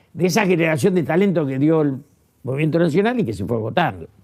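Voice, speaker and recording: Vocal fry runs through this man's fairly high-pitched voice. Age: 80s+. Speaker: former politician and writer. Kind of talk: interview. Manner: halting.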